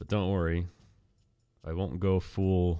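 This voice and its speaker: This man's voice is very deep and low, delivered very slowly in a monotone, flat intonation. The recording is very clean, with a silent background. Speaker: video game speedrunner. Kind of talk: live gameplay commentary. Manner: casual, conversational.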